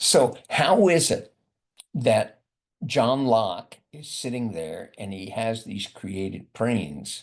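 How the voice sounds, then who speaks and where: A man speaks very slowly, with vocal fry. His pitch swings very widely. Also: medium pitch for a man. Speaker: professor. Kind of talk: lecture. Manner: mumbling; halting.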